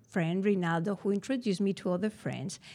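A woman speaks with a Spanish accent in a dark, mellow tone at medium pitch. The recording is very clean, with a silent background. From Spain, Bilbao (Basque Country). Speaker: storyteller, teacher. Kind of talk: live storytelling.

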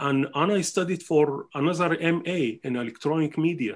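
A man with a Sudanese accent talks at a fairly slow pace and a high pitch. His pitch varies in an ordinary way, and the background is quiet. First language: Arabic. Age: 60s. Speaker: musician and scholar. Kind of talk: interview. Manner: halting.

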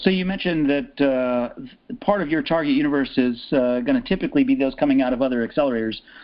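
Fairly high in pitch, a man talks at a very fast pace with lively intonation and hardly any pauses. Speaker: podcast interviewer. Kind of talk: interview.

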